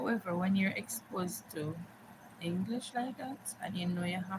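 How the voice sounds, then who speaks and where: A woman speaks at a medium pitch with ordinary variation and a fairly slow pace. Noticeable background noise sits behind her. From Jamaica, Montego Bay. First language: Jamaican Patois. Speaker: live streamer. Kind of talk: casual chat. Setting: live stream.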